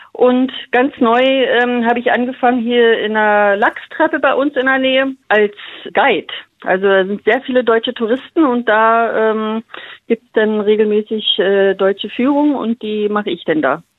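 A woman speaks in an unremarkable speaking voice at a fairly high pitch and a moderate pace, with ordinary pitch variation. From Berlin-Brandenburg, Germany. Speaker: radio listener, kindergarten worker. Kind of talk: phone interview. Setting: phone call.

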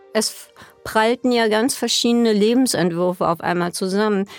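With a plain, everyday voice, a woman speaks at a fairly high pitch and a moderate pace, the sound dry and close with no echo on a very clean recording with a silent background. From Berlin (West). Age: 60s. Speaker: party scene veteran. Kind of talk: interview recollection.

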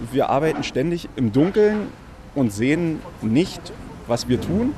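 This man has a fairly high pitch and a lively intonation. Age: 30s. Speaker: construction site manager. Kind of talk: on-site interview.

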